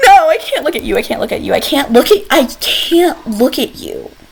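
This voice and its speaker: A woman speaks in an animated tone with very wide pitch swings. Noticeable background noise runs underneath. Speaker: gaming YouTuber. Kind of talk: casual game commentary. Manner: fast.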